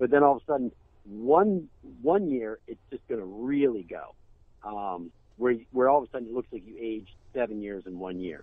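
A man's unremarkable speaking voice, medium in pitch, at a moderate pace, with lively intonation and big swings in loudness. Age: 40s. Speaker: actor and podcast co-host. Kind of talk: casual chat.

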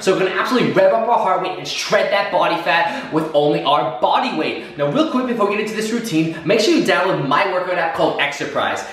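Amid audible room echo, a man talks at a very fast pace with lively intonation. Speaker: fitness trainer. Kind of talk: workout intro tutorial. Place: empty room.

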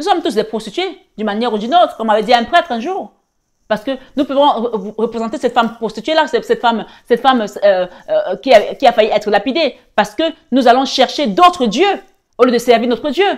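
A woman's high voice with lively intonation at a fairly quick pace over a quiet background. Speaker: spiritual guide and tarot reader. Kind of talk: sermon-like preaching with prayer and exhortation. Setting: online video, live-stream. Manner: fervent, exhortative, repeating phrases for emphasis; warm, intimate, addressing viewers as 'belles âmes'. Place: home room.

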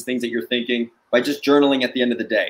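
The speaker has a New Jersey accent. Their intonation stays fairly even. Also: man. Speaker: sales trainer and startup founder. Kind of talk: guest interview on a live webcast. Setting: video call. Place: home room.

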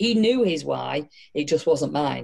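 Someone with a northern English accent talks at a moderate pace against a quiet background. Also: woman. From northern England. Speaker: entrepreneur and motivational speaker; motivational speaker. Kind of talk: casual interview. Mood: candid, reflective. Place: home room. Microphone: video call.

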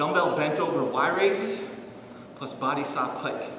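Audible room echo and noticeable background noise surround a man as he speaks. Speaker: fitness instructor. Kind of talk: tutorial. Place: gym. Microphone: camera far.

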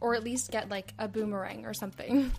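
A woman's fairly high-pitched voice at a fairly slow pace with fairly even intonation, over music in the background. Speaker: podcast host. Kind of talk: casual comedic podcast narration.

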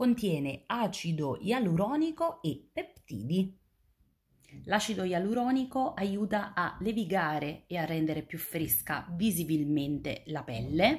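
Somewhat breathy, a woman speaks at a fairly low pitch with very wide pitch swings. Her pace is fairly slow against a quiet background. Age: 30s. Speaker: beauty YouTuber. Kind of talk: product review vlog.

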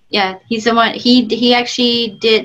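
An animated tone comes from a woman. The background is quiet. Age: 30s. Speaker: film director; interview guest. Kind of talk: casual interview chat. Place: home room. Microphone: video call.

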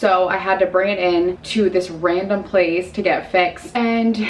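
Light background noise runs under the recording. A woman speaks with fairly even intonation. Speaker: vlogger. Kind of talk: casual vlog chat. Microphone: phone near.

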